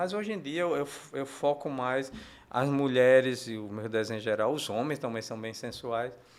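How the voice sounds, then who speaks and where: Lively intonation marks the fairly high voice of a man. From Paraíba, northeastern Brazil. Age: 60s. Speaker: comic book artist. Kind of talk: interview. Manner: halting, many repetitions and fillers.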